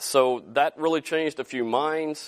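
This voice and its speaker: A man with a Southern US accent talks with ordinary pitch variation, the sound dry and close with no echo, on a very clean recording with a silent background. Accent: Southern US drawl, still present. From Arkansas, US South. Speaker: entrepreneur, company founder, guest speaker. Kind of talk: guest lecture to students. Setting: classroom with students.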